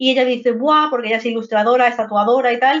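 A woman speaks with a Madrid accent at a very fast pace. Her pitch is high. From Madrid, Spain (Vallecas). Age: 30s. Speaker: video game narrative teacher and author. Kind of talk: casual interview chat.

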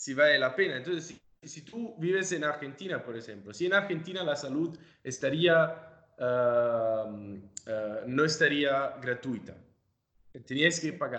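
Speaking at a fairly slow pace with an Italian accent, a man uses a fairly high pitch, a bright, sharp tone, lively intonation and big swings in loudness. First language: Italian (speaking Spanish). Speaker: podcast host. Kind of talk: interview. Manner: halting.

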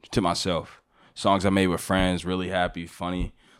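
A man with a very deep, low voice speaks on a very clean recording with a silent background. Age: 20s. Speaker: rap and R&B artist. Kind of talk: casual chat.

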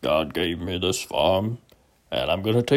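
A man uses a put-on character voice, rumbling and fairly low in pitch. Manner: earnest, plainspoken.

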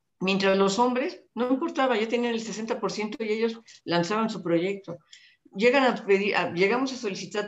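At a moderate pace, a woman uses a normal speaking voice with medium pitch and ordinary pitch variation. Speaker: retired public official and speaker. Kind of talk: interview conversation.

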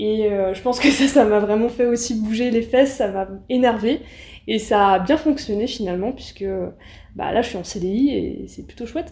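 Delivered in a plain, everyday voice at a moderate pace, the speech has ordinary pitch variation and big swings in loudness. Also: woman, fairly high pitch for a woman. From Paris suburbs, Seine-Saint-Denis (Aulnay-sous-Bois). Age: 20s. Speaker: journalist. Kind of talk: interview.

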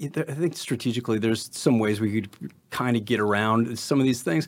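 A normal speaking voice at a fairly quick pace, with hardly any pauses. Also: man. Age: 50s. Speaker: musician and business owner. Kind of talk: casual chat. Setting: studio.

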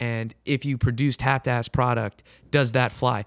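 A man speaks in an ordinary speaking voice at a moderate pace, medium in pitch with fairly even intonation, in a dry, close sound with no echo. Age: 20s. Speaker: podcast co-host. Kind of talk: casual interview chat.

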